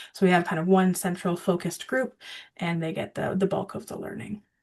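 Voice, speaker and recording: A woman's medium-pitched voice with vocal fry. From Ontario, Canada. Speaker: water education presenter. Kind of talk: video call presentation.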